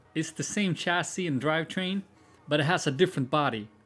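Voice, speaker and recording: The voice has a Swedish accent. The pace is fairly quick. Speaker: YouTuber, car builder. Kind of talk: casual Q&A video.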